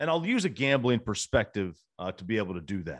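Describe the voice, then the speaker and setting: Against a quiet background, a man with vocal fry talks at a moderate pace, his pitch swinging very widely. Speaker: sports betting podcast host. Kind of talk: solo podcast commentary. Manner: frequent filler words. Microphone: new equipment.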